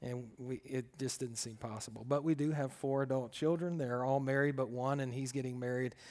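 A man with an American accent has a normal speaking voice at a medium pitch. He keeps a moderate pace with hardly any pauses. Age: 50s. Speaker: pastor and counselor. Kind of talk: talk to a group of students. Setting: in-person room with audience.

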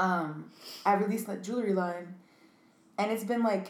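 Against audible room echo, a woman with an American accent speaks at a moderate pace, her pitch medium and her intonation fairly even. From New York City (Bronx), then Connecticut. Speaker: designer and artist, business owner. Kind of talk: casual chat.

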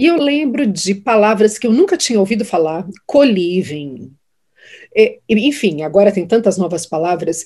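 With lively intonation, a woman speaks at a moderate pace and medium pitch in a dark, mellow tone. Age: 50s. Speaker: judge and social media creator. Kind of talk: interview conversation.

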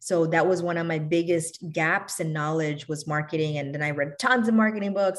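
A woman's ordinary speaking voice with an American accent, fairly low in pitch, with fairly even intonation and a fairly quick pace. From New York City, of Bangladeshi family. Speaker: physician and health insurance business owner. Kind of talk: interview podcast.

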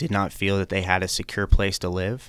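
In a very clean recording with a silent background, a man with an American accent speaks with a very deep, low pitch. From US West Coast (Napa, California). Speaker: attorney and college board candidate. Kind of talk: interview. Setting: studio.

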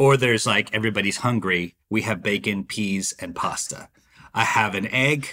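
A man with an American accent speaks at a moderate pace in an ordinary speaking voice, fairly low in pitch with ordinary pitch variation, on a very clean recording with a silent background. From Dallas, Texas. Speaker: chef. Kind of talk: casual interview.

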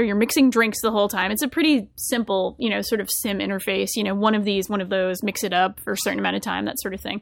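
A woman with a fairly high pitch speaks at a very fast pace. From Rhode Island. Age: 30s. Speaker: podcast host. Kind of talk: casual chat.

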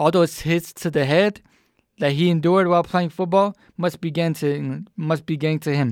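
Recorded very cleanly against a silent background, a man with a fairly high pitch speaks at a moderate pace. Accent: American. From US South, Atlanta. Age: 20s. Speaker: podcast host. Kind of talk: solo commentary monologue. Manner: animated.

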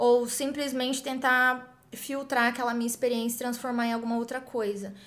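Here a woman talks in a high voice. Her intonation stays fairly even. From Brazil, interior of São Paulo state. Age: 20s. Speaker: founder of a women's empowerment project. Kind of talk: interview.

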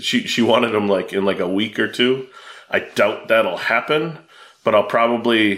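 Moderate in pace and medium in pitch, a man talks in a normal speaking voice with ordinary pitch variation. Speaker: podcast host. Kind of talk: casual chat.

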